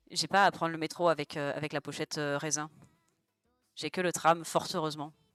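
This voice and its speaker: Over music in the background, a woman with a very deep, low voice talks at a fairly quick pace in a monotone, flat way, broken by long, frequent pauses, with a dry, close sound and no echo. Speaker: streamer. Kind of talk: casual chat. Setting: live stream while drawing.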